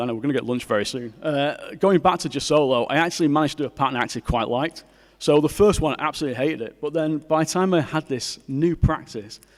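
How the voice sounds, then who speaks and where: A man's very fast, fairly high-pitched speech in a Mancunian accent, with ordinary pitch variation. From Manchester, northern England. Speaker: graphic designer and artist. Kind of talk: conference talk.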